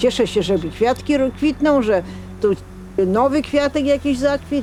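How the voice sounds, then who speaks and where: Over noticeable background noise, a woman with a high pitch speaks at a fairly slow pace, her intonation lively and her loudness very even. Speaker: retiree. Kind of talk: documentary interview.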